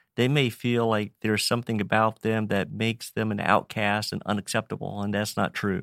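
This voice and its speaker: A man with a Virginia accent, fairly low-pitched and monotone, speaking at a fairly quick pace with hardly any pauses, in a dry, close sound with no echo and a very clean recording with a silent background. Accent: Virginia Southern US. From Virginia, Roanoke. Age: 50s. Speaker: nonprofit ministry director. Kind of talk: interview.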